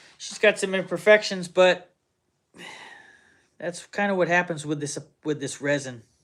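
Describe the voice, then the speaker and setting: This man has a high voice, talks at a moderate pace with long, frequent pauses, and swings widely in loudness while his pitch varies in an ordinary way. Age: 40s. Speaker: woodturner streaming live. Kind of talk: casual live stream chat.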